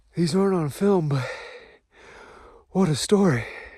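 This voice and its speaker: A man with a high pitch speaks at a fairly slow pace. Audible room echo surrounds the voice. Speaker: hunter. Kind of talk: field video diary. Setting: outdoors. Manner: loud.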